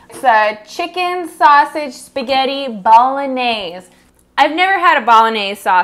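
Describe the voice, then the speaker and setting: A woman talks at a fairly slow pace in a high pitch. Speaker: cooking show host. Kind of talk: casual cooking vlog chat. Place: kitchen.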